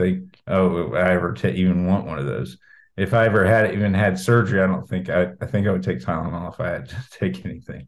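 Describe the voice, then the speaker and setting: A man with an American accent speaks at a very deep, low pitch. His pitch variation is ordinary and his pace moderate. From Indiana, Brown County. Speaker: singer-songwriter. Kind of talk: interview.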